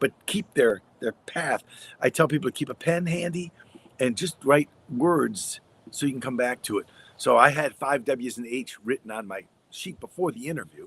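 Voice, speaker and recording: A man with an American accent talks at a moderate pace in a fairly high voice, with big swings in loudness. The sound is dry and close, with no echo. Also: lively intonation. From US Midwest. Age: 60s. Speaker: radio broadcaster and story coach. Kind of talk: interview conversation.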